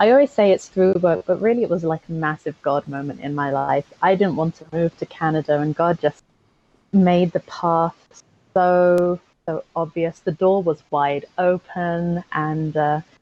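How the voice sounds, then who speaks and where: A woman with an English accent, fairly low in pitch, dark and mellow in tone, with ordinary pitch variation, a fairly slow pace and a dry, close sound with no echo. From England, Aylesbury, Buckinghamshire. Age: 20s. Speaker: construction cost manager. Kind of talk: podcast interview testimony.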